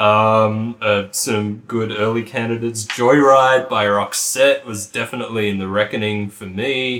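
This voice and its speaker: A man's fairly slow, monotone, flat delivery at a medium pitch, in an Australian accent with hardly any pauses. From Australia, country town. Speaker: podcast co-host. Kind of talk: casual chat.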